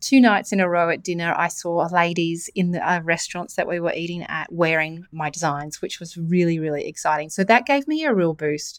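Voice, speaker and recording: This woman speaks in an Australian accent at a fairly quick pace, with hardly any pauses. Her pitch is fairly low. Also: ordinary pitch variation, very clean recording, silent background. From Australia, New South Wales. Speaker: podcast host and e-commerce mentor. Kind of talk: solo podcast talk.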